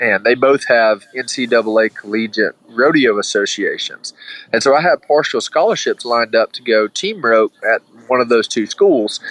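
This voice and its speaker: A man with a Southern US accent, at a moderate pace. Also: dry, close sound with no echo. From Alabama. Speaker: former college mascot rider. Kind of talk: interview.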